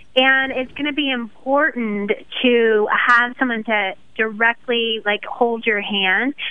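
Fairly high in pitch, a woman's plain, everyday voice holds a fairly even intonation. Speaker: holistic health coach. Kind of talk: casual interview chat. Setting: live radio show.

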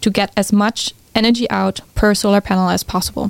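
A woman with a German accent speaks with fairly even intonation in a dry, close sound with no echo. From Germany. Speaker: physics professor and entrepreneur. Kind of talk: interview.

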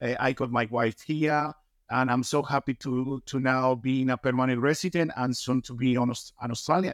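A man sounds enthusiastic on a very clean recording with a silent background. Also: medium pitch for a man, moderate pace, dry, close sound with no echo. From Colombia. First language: Spanish. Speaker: mining company executive. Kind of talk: interview.

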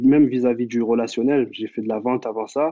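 At a moderate pace, a man speaks at a medium pitch with fairly even intonation and a plain, everyday voice. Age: 20s. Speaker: web developer. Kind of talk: interview.

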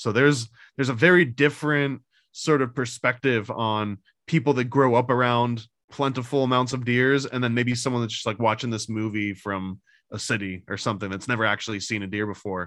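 Speaking at a fairly quick pace with an upstate New York accent, this voice has ordinary pitch variation over a quiet background. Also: man, medium pitch for a man. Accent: American, upstate New York. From US, upstate New York. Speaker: comic book creator. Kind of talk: casual chat.

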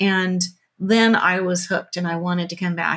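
At a moderate pace, the woman talks with a somewhat breathy quality. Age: 50s. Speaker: podcast host, army veteran. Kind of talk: casual chat.

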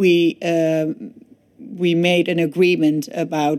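Here a woman speaks with a Dutch accent. Her pace is fairly slow. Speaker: shipping industry association director. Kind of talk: interview. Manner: hesitant, many fillers.

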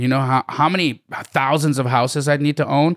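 A man speaks with an animated tone. His pace is moderate. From Canada (Calgary, Alberta). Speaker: real estate investor. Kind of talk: interview.

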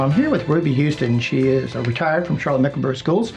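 With an American accent, a man talks very fast in a fairly high pitch, using lively intonation and vocal fry. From South Carolina (Rock Hill). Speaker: radio host and chamber of commerce president. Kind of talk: radio talk show hosting. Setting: radio studio.

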